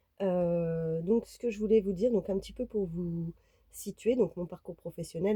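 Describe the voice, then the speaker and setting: In a dry, close sound with no echo, a woman with a fairly low pitch and a dark, mellow, somewhat breathy tone speaks with ordinary pitch variation. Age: 30s. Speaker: vlogger. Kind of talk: casual vlog talk to camera. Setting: inside a camper van. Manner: hesitant, many fillers.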